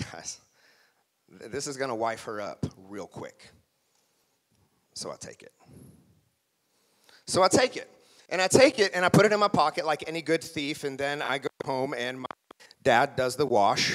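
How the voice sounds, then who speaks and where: Speaking in an American accent at a moderate pace, a man with a fairly high pitch and animated tone makes big swings in loudness and takes long, frequent pauses. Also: lively intonation. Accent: Oklahoma accent, comes through at times. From Oklahoma, small town. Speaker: motivational speaker. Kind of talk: motivational speech. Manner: animated storytelling.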